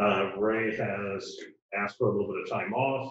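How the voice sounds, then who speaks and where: A somewhat breathy man at a fairly slow pace, with audible room echo. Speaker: town administrator giving report. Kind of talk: meeting report. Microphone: video call.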